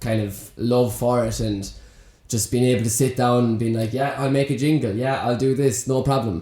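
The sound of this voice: A man speaks at a moderate pace with a dark, mellow tone, medium pitch and fairly even intonation, with audible room echo around him.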